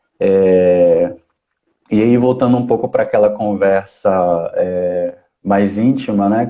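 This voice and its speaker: With a fairly low pitch, this man's voice carries a dark, mellow tone. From Brazilian Northeast. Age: 20s. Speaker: social worker. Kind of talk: casual chat. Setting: online live stream. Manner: hesitant, many fillers.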